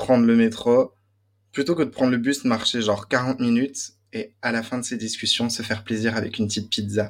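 Recorded very cleanly against a silent background, a man speaks with a slight Belgian accent. His pitch is medium and his pace moderate. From Belgium. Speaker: student and music industry worker. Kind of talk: casual chat.

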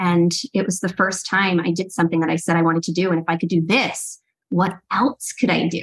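A somewhat breathy woman with an American accent talks at a moderate pace with a fairly low pitch. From US East Coast suburbs. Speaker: life coach and co-author. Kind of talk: casual interview chat.

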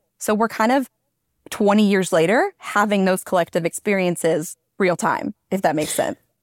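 A woman with an ordinary speaking voice, ordinary pitch variation, very even loudness and a moderate pace, in a very clean recording with a silent background. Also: medium pitch for a woman, dry, close sound with no echo. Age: 30s. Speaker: content creator and mom. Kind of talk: casual chat.

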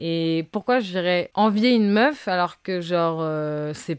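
On a very clean recording with a silent background, a woman talks. She has a normal speaking voice with ordinary pitch variation. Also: dry, close sound with no echo. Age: 20s. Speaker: upcycling fashion brand founder. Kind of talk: casual chat.

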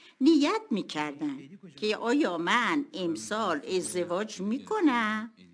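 A woman at a fairly high pitch and a very slow pace, with very wide pitch swings. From Tehran, Iran. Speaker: retired school owner. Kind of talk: interview.

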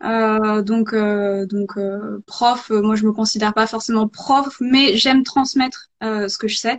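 Very slowly, a woman speaks in a somewhat breathy voice with fairly high pitch. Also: fairly even intonation. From rural France. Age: 30s. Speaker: ceramicist and pottery teacher. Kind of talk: live interview. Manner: hesitant.

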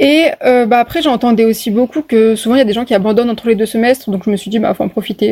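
Very fast speech with a dark, mellow tone and ordinary pitch variation. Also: woman. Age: 20s. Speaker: medical student. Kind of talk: podcast interview.

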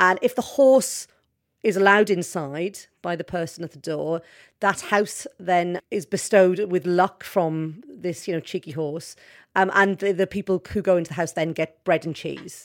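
The recording is very clean, with a silent background. A woman speaks in a fairly low pitch with ordinary pitch variation. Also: moderate pace. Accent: Welsh. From Wales. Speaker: journalist. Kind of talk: interview.

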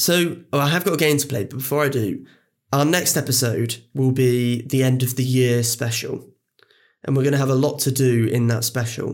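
A man with an ordinary speaking voice talks at a moderate pace. His medium pitch carries fairly even intonation. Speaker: film podcast host. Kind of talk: casual chat, film discussion.

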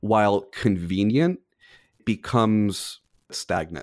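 Pitch moves in an ordinary way as the speech unfolds at a very slow pace on a very clean recording with a silent background. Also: man. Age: 30s. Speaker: film industry professional. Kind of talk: casual chat.

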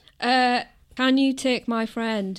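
Very slow speech from a woman with a Teesside accent, on a very clean recording with a silent background. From northern England, Middlesbrough. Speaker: film fan guest. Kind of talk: casual chat.

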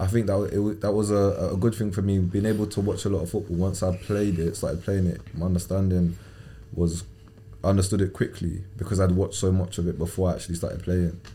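In a southern English accent, a man talks at a very fast pace in a very deep, low, somewhat breathy voice with a dark, mellow tone and flat, monotone intonation. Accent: southern English, London-area. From England. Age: 20s. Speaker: professional footballer. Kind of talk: casual interview.

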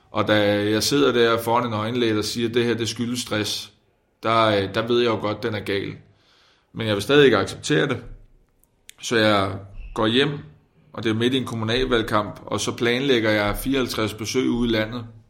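A man's medium-pitched voice, fairly even in intonation, at a moderate pace with long, frequent pauses and audible room echo. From Denmark, provinces. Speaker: politician. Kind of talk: interview. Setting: parliament building, away from studio.

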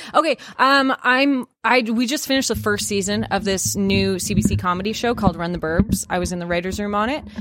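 A woman speaks in a plain, everyday voice at a fairly quick pace and medium pitch, with ordinary pitch variation and hardly any pauses. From Canada. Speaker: comedy YouTuber and actor. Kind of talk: casual podcast interview. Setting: studio.

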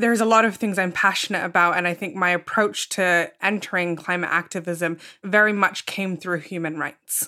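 With a British accent and a bright, sharp tone, the speaker keeps a moderate pace with hardly any pauses and fairly even intonation, on a very clean recording with a silent background. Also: woman, medium pitch for a woman. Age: 20s. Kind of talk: panel discussion.

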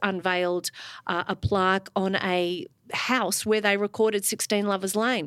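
Here a woman with an Australian accent talks at a moderate pace in a medium pitch. Her intonation is fairly even, and the sound is dry and close with no echo. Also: very clean recording, silent background. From Melbourne, Australia. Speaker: music broadcaster. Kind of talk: casual conversation interview. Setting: live recording before an audience.

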